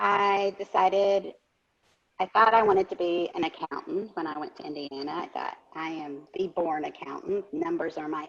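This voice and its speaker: Her pitch fairly low, a woman talks at a moderate pace with ordinary pitch variation. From US South, northeast Arkansas. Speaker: community leader. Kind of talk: interview.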